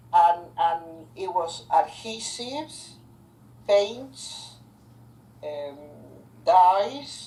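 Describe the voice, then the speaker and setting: The speech moves at a very slow pace with very wide pitch swings and long, frequent pauses over noticeable background noise. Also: woman. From Argentina. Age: old. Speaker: chemist, business owner. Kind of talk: oral history interview answer.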